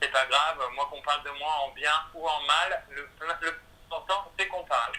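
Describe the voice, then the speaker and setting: Noticeable background noise surrounds a man with a fairly high pitch. He speaks at a moderate pace with fairly even intonation. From France. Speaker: singer and musical theatre performer. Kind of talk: radio interview. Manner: hesitant, many fillers.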